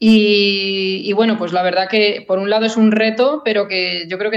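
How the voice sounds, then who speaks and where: A woman's fairly slow, monotone, flat delivery. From Spain, Madrid area (Rivas). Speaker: classical guitarist. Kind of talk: casual interview.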